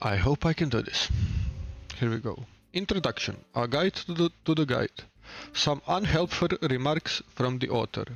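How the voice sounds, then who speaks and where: Speaking in a Balkan accent, a man uses lively intonation at a fairly high pitch. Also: moderate pace. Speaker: streamer. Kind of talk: reading aloud. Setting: live stream at home. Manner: hesitant, many fillers.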